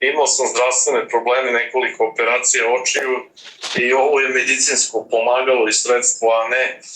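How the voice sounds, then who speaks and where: Speaking at a moderate pace, a man uses a medium pitch and a bright, sharp tone. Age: 70s. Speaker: retired diplomat, movement founder. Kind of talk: political interview. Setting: video call.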